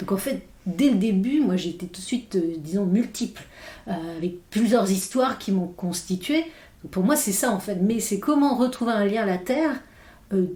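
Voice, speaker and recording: This woman's voice sits at a medium pitch, dark and mellow in tone and somewhat breathy. She moves at a moderate pace with lively intonation. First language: English (speaking French). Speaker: philosopher. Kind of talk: podcast interview. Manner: halting, many hesitations.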